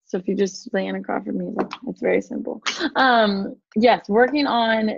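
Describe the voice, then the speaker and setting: A woman with an American accent at a moderate pace, ordinary pitch variation. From US Pacific Northwest, Stanwood, Washington. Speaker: singer and worship leader. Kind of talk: interview.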